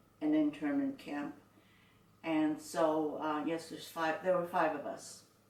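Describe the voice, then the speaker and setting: A woman with a Canadian accent and lively intonation at a moderate pace, amid noticeable background noise and audible room echo. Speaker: internment survivor. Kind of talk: oral history interview. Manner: halting.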